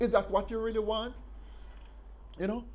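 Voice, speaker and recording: There is audible room echo. The speaker is a man. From Jamaica. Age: 60s. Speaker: political commentator. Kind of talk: open address to a politician.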